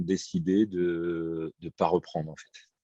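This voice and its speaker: Words come at a very slow pace in a dark, mellow tone. The intonation is fairly even, the sound dry and close with no echo. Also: man. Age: 40s. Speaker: print business owner. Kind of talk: testimony.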